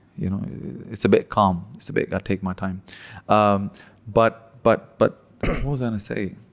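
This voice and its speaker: Speaking at a moderate pace with long, frequent pauses, a man with a Pakistani accent uses a fairly low pitch and ordinary pitch variation. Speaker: stand-up comedian. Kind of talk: casual chat. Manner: hesitant, filler-heavy.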